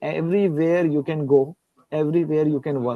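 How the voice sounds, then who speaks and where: Speaking with an Indian accent, a man holds a moderate pace at a fairly high pitch. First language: Hindi. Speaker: guest lecturer and researcher. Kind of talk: Q&A conversation after a lecture. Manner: halting, with repetitions.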